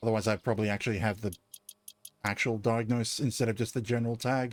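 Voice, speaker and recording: This man, with an Australian accent, talks at a very fast pace and medium pitch. His intonation is flat and monotone, and his loudness stays very even. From Australia, Southeast Queensland. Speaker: game streamer. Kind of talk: casual live-stream commentary.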